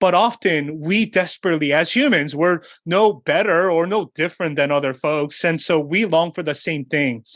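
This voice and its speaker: Speaking at a moderate pace with hardly any pauses, a man with a high pitch and an American accent shows ordinary pitch variation in a very clean recording with a silent background. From South Korea, then New York City from age 10. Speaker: pastor and author. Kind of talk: interview.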